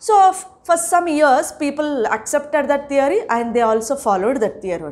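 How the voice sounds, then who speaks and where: A woman's high-pitched voice with an Indian accent and very wide pitch swings. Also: moderate pace. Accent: Indian English (Telugu). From India, Telangana. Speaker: school teacher. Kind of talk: lecture. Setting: recorded online class. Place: classroom.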